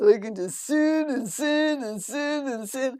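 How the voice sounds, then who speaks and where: Someone uses a put-on character voice. The delivery is fairly slow. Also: woman, high pitch for a woman. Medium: solo performance. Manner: simple, naive, broken grammar.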